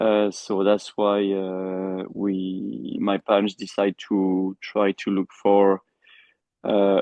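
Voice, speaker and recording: A man with a French accent speaks at a fairly low pitch in a monotone, flat intonation. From France. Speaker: endurance rider and trainer. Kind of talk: interview. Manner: halting.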